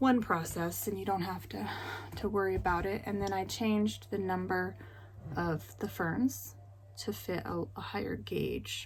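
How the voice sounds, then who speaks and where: A woman mumbling at a fairly slow pace, with audible room echo. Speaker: knitting podcaster and designer. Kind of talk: casual vlog chat.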